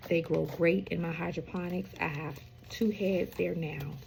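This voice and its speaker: A woman speaks at a fairly low pitch and moderate pace, with ordinary pitch variation. Noticeable background noise can be heard. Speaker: home gardener, channel host. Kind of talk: casual vlog talk. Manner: hesitant, many fillers.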